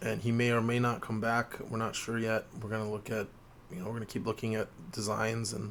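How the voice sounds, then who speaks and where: Quiet, fairly quick speech in a monotone, flat intonation. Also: man. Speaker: gaming channel host. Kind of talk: tutorial walkthrough. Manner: talking quietly to preserve voice.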